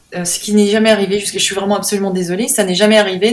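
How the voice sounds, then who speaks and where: Over noticeable background noise, a woman speaks very fast at medium pitch with monotone, flat intonation. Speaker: painter. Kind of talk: interview. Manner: halting.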